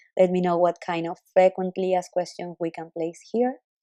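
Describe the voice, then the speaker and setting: This woman speaks at a moderate pace with a fairly low pitch and a non-native accent. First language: not English. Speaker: web designer. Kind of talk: recorded screen walkthrough for a client. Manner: halting.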